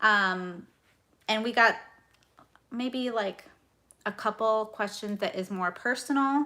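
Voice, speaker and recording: In a loud, bright, sharp tone, a woman talks at a very slow pace with long, frequent pauses, her fairly high pitch showing ordinary variation. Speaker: budgeting youtuber. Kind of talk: casual chat. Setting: livestream.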